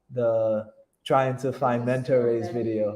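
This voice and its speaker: This man's voice is dark and mellow, moving at a moderate pace. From Haiti. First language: French and Haitian Creole. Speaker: YouTuber, expat vlogger. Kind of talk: live Q&A stream. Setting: livestream reading viewer chat. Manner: halting, frequent self-repeats.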